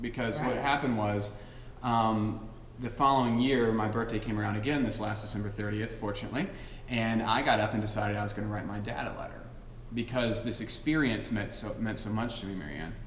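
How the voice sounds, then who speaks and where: With audible room echo and light background noise, a man speaks at a fairly quick pace with fairly even intonation. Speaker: radio interview guest. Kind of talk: interview answer. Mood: earnest, emotional personal story.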